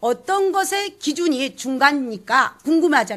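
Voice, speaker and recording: The speaker is a woman with a high voice. Her pitch leaps up and down very widely. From South Jeolla, Sinan island. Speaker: pansori teacher. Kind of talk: lecture. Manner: animated.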